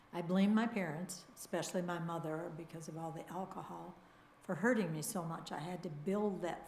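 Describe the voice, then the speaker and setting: Delivered at a moderate pace with fairly even intonation, the speech carries audible room echo. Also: woman. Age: 80s. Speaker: congregation member sharing personal story. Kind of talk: testimony. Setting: church service.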